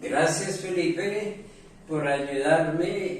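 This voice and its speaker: The speaker has a Spanish accent. Noticeable background noise and audible room echo are present. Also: man. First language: Spanish (speaking French). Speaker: language teacher. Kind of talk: lesson.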